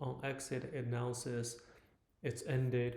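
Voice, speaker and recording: Against audible room echo, a man with a non-native accent speaks at a medium pitch, his somewhat breathy voice carrying a dark, mellow tone. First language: not English. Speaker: software developer. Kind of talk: live coding tutorial. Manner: halting, many fillers.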